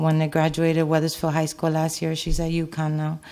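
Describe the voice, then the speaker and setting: A woman speaks at a moderate pace. Her voice is very deep and low, with a dark, mellow tone. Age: 40s. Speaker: resident speaking at public comment. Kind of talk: public comment. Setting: town council meeting. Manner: halting. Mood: concerned, earnest. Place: meeting room. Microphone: podium.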